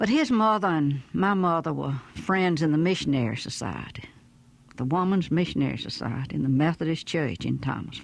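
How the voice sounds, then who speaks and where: A woman with a Southern US accent, a very deep, low pitch, a gentle tone, lively intonation and a fairly quick pace. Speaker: storyteller. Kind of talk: audiobook memoir reading.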